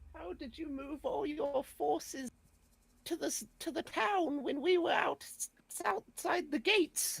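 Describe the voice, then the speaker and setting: Someone uses a high-pitched put-on character voice at a fairly slow pace. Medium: actual play.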